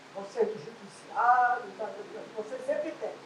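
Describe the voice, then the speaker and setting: A woman speaks fairly slowly with lively intonation. Noticeable background noise and audible room echo fill the recording. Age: 80s+. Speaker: resident, public servant. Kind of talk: personal testimony at community meeting.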